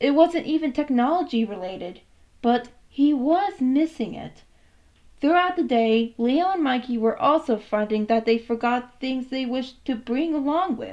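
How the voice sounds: A woman speaks at a fairly slow pace and a high pitch. Her intonation is lively.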